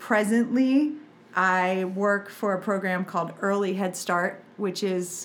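The woman here has an ordinary speaking voice at a medium pitch. She speaks at a fairly slow pace. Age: 40s. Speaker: parenting coach. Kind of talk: casual chat.

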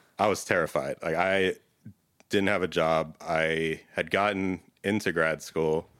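A man with an American accent talks in a very deep, low voice and a flat, monotone delivery. The recording is very clean, with total silence behind him. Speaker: data consultant. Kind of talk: casual interview. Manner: laid back.

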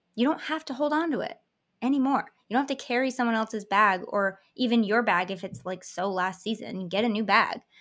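On a very clean recording with a silent background, a woman with an unremarkable speaking voice and a fairly high pitch talks at a fairly quick pace with lively intonation. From Michigan, US. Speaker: hypnotherapist. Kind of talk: casual interview chat.

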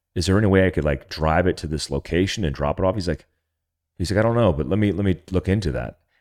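In an American accent with vocal fry, the speaker talks at a very fast pace with ordinary pitch variation on a very clean recording with a silent background. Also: man, very deep, low pitch for a man. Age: 40s. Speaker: former special forces soldier and survival trainer. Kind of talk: casual interview chat.

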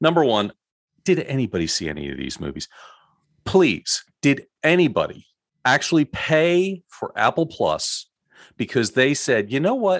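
A man with vocal fry and very wide pitch swings, at a moderate pace, against a quiet background. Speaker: podcast co-host. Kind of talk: casual discussion podcast.

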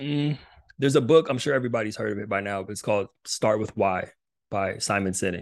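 With a plain, everyday voice, a man at a fairly low pitch talks at a fairly quick pace with ordinary pitch variation against a quiet background. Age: 30s. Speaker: athlete transition coach, former college football player. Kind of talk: casual interview.

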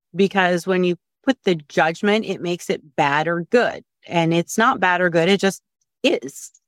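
A woman uses an ordinary speaking voice at medium pitch and a moderate pace. Her pitch varies in an ordinary way, and the sound is dry and close with no echo. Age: 40s. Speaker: course participant, home cook. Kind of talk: casual interview.

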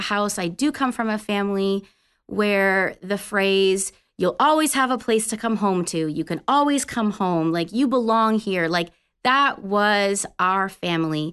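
A woman with a plain, everyday voice in a Canadian accent, at medium pitch with ordinary pitch variation, a fairly slow pace, and a quiet background. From Canada. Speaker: Salvation Army officer. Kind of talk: faith testimony. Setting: studio.

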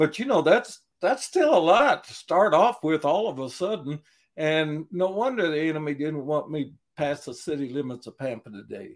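A man with an ordinary speaking voice talks at a moderate pace, his pitch fairly high. His intonation is lively, and his loudness swings widely. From US Southwest, eastern New Mexico. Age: 60s. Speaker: prison chaplain. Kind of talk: interview.

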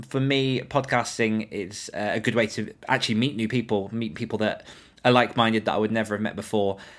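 In a British accent, a man with a medium pitch speaks at a fairly quick pace and fairly even intonation on a very clean recording with a silent background. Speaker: podcast host and author. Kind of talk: interview conversation. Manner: informal, chatty.

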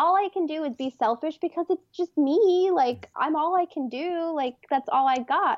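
A woman with an American accent speaks at an extremely high pitch. Her pitch moves in an ordinary way. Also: moderate pace. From Texas. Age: young. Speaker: artist. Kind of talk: interview conversation.

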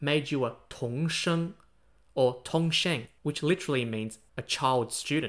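A man with an Australian accent, a fairly high pitch and ordinary pitch variation, in a very clean recording with a silent background. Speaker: history podcaster. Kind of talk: scripted narration. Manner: animated.

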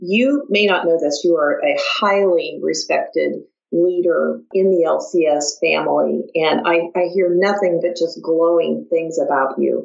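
With a Midwestern American accent, a woman talks at a fairly slow pace with hardly any pauses and very even loudness. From US Midwest. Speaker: podcast host, clinical services director. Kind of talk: interview.

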